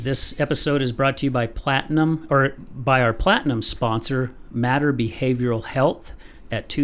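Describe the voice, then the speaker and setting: Over music in the background, a man speaks at a fairly slow pace with a fairly high pitch. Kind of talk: podcast host talk.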